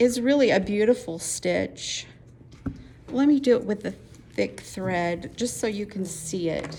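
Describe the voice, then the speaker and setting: A woman with a Utah accent at a fairly slow pace over noticeable background noise. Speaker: quilting teacher. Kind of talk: tutorial.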